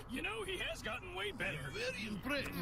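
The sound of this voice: A cartoonish character voice rattles along at a very fast pace. Loud background noise fills the clip.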